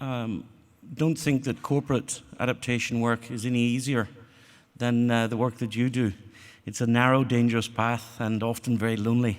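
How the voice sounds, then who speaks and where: A man with an Irish accent speaks at a fairly quick pace and a medium pitch. His intonation is monotone and flat, and the recording is very clean with a silent background. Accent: non-Australian accent, Irish. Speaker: corporate adaptation panelist. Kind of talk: conference panel talk. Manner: hesitant, many fillers.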